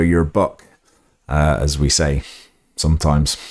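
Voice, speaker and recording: With an English accent, a man speaks at a fairly slow pace in a very deep, low pitch and a monotone, flat intonation. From England. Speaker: podcast host, English teacher. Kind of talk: educational podcast monologue. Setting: solo recording with microphone. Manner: hesitant, many fillers; slightly stiff.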